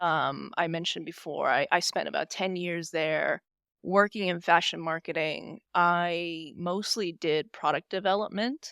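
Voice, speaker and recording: A woman with a Californian accent speaks at a fairly slow pace in a fairly low pitch and fairly even intonation, recorded dry and close with no echo on a very clean track with a silent background. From US West Coast, San Diego California. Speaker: SEO manager, interview guest. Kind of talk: interview.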